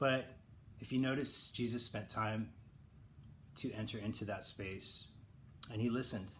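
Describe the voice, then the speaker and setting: The voice is somewhat breathy, with an American accent and a moderate pace. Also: man. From Southern California. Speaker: church elder giving devotional. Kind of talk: devotional talk. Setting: online video recording. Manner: casual with fillers and false starts.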